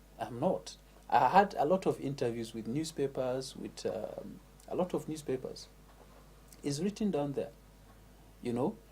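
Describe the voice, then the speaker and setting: Long pauses come often from a man. His pace is moderate. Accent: northern Nigerian. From northern Nigeria, Katsina State. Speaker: MC and former teacher. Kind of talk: interview.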